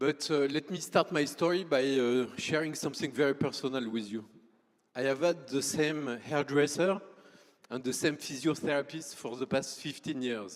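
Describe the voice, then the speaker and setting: A man with a French accent, fairly high in pitch, at a moderate pace with ordinary pitch variation. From France. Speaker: startup founder. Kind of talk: conference presentation.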